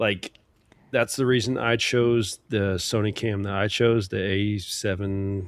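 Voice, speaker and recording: A man talks fairly slowly in a fairly low voice, keeping his intonation fairly even. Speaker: live-stream podcast co-host. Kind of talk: casual chat. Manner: soft-spoken.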